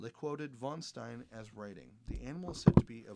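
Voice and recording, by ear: A natural voice is used to read the text aloud.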